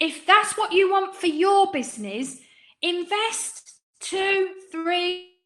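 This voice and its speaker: With an English accent, a woman speaks very slowly in an extremely high pitch, her tone bright and sharp and her pitch varying in an ordinary way. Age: 50s. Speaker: business coach. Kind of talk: webinar presentation. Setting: online webinar. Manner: animated.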